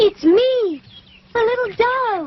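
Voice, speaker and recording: A female-sounding, cartoonish character voice. It sits at an extremely high pitch. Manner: gentle, warm.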